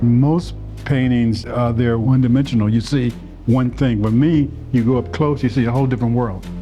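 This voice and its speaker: Over music in the background, a man talks at a moderate pace with medium pitch, fairly even intonation and very even loudness. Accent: American. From Mississippi, US South. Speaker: painter. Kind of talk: interview answer. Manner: stutters.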